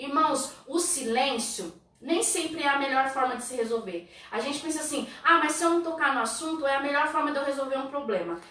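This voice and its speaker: A woman with a high pitch projects a raised voice in an animated tone at a fairly quick pace. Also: lively intonation. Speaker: church youth leader. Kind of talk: church teaching livestream. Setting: online livestream.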